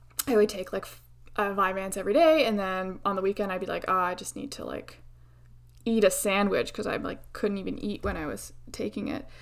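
A woman speaks at a fairly quick pace with vocal fry. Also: medium pitch for a woman, ordinary pitch variation. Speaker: podcast host. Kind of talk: solo podcast monologue. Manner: animated, speeds up when excited.

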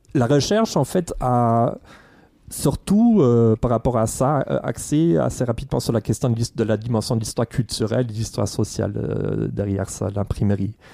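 In a very clean recording with a silent background, a man speaks at a moderate pace, his medium-pitched voice dark and mellow in tone, with ordinary pitch variation. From Germany. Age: 40s. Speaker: history professor. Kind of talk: casual chat. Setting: library room.

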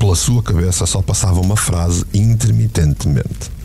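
Intense, theatrical delivery from a man with a European Portuguese accent, very deep and low in pitch, lively intonation, moderate pace, noticeable background noise. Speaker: podcast narrator and producer. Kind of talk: dramatic narration of a novel, with dialogue in character voices. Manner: intense, gripping, theatrical storytelling.

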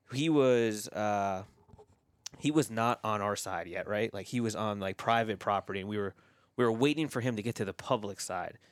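Here a man uses an ordinary speaking voice at medium pitch with ordinary pitch variation. He keeps a moderate pace on a very clean recording with a silent background. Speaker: hunter. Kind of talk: casual chat. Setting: outdoors at hunting camp.

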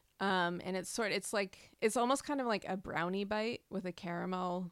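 In a plain, everyday voice, a woman talks at a fairly quick pace with fairly even intonation, the sound dry and close with no echo on a very clean recording with a silent background. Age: 40s. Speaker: food journalist and podcast host. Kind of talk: casual interview.

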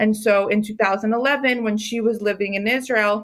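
In an unremarkable speaking voice, a woman with an American accent speaks at a fairly high pitch with fairly even intonation, on a very clean recording with a silent background. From Maryland, US. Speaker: food company founder. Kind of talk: interview.

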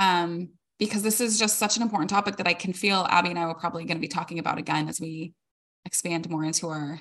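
This woman has an unremarkable speaking voice, fairly low in pitch with ordinary pitch variation. She talks at a fairly quick pace. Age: 40s. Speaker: podcast co-host. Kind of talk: casual chat.

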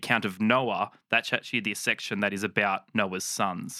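A man with an Australian accent speaks at a moderate pace in a bright, sharp tone with ordinary pitch variation, on a very clean, dry, close recording with a silent background and no echo. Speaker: Bible podcast co-host. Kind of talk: casual chat.

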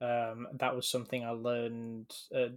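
A medium-pitched man's voice in an English accent, with monotone, flat intonation. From England. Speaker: podcast co-host. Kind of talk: casual chat.

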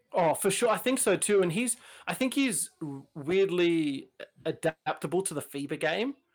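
A man with an Australian accent speaks at a moderate pace in a high pitch, his intonation lively. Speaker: podcast co-host guest. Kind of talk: casual podcast chat.

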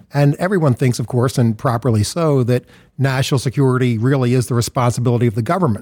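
With an American accent, a man talks very fast at a medium pitch, his dark, mellow tone showing ordinary pitch variation and very even loudness on a very clean recording with a silent background. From US, Philadelphia. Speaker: nonprofit founder and CEO. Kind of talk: interview.

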